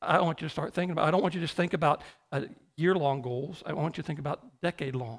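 Over a quiet background, the speech runs at a very fast pace with ordinary pitch variation. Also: man, fairly high pitch for a man. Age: 50s. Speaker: pastor. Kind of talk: sermon. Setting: church. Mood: earnest, reflective. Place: church. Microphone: headset.

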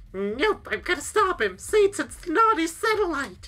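This put-on character voice sits at an extremely high pitch. It moves at a moderate pace. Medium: game stream. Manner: excitable, boyish.

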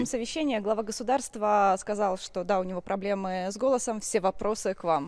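A woman talks in a normal speaking voice at a medium pitch and a fairly quick pace. Her loudness swings a lot, and she hardly pauses. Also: ordinary pitch variation. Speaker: journalist. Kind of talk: interview question. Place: hall.

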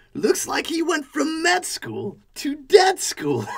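A man puts on a cartoonish character voice, pitched extremely high and delivered at a fairly slow pace. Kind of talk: comic horror narration. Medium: puppet show. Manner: punny, sardonic.

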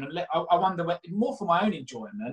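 A man talks with a South London accent. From South London (Catford, Bromley area). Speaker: mortgage broker and property investor; guest. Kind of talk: casual interview. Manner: hesitant, repeats words. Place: home room. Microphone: webcam.

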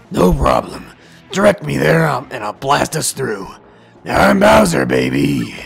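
A man's put-on character voice, gruff and raspy, very deep and low, at a fairly slow pace with music in the background. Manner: boisterous.

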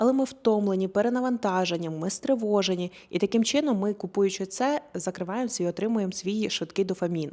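A woman with a medium pitch speaks at a fairly quick pace with hardly any pauses. Her tone is relaxed, dark and mellow, and her intonation is lively. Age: 30s. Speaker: lifestyle blogger. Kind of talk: casual chat.

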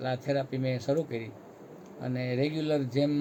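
This man talks at a medium pitch. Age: 60s. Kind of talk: testimonial interview.

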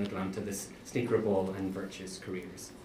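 With audible room echo and light background noise, a man is speaking. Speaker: professor. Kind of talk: event introduction. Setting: stage with audience. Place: classroom.

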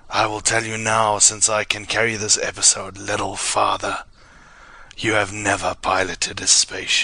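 Raspy and fairly low, a man puts on a character voice. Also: moderate pace.

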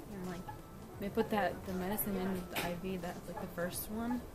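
Clear background music behind a woman's moderately paced speech. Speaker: vlogger. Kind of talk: casual vlog chat. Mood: groggy after surgery.

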